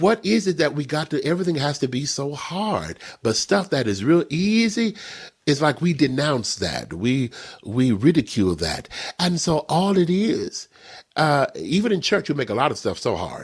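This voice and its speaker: An American accent with vocal fry, very wide pitch swings, and a moderate pace. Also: man, fairly high pitch for a man. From Texas. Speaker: minister and prophet. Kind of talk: spiritual teaching interview. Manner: animated.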